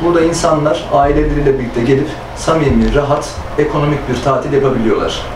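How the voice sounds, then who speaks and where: A man at a very fast pace, with monotone, flat intonation, audible room echo and noticeable background noise. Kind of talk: interview answer. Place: office.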